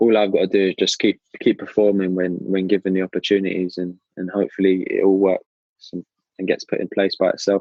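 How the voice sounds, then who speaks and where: Delivered at a fairly quick pace in a southern English accent, the speech stays monotone, with flat intonation. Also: man, fairly low pitch for a man. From southern England (Brighton). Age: 20s. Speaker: professional footballer. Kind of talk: interview. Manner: hesitant, many fillers.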